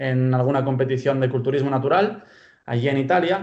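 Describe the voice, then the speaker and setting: With a Spanish accent, the speaker keeps a fairly even intonation amid audible room echo. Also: man. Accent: purely Spanish (Spain). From Pamplona, Spain (born in Bulgaria, moved at 12). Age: 20s. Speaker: sports science student and fitness coach. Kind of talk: interview.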